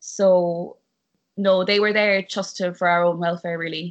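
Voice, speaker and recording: A woman with a Cork accent speaks at medium pitch. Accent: Cork Irish. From Ireland, West Cork. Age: young. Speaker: actress. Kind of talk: casual interview. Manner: animated.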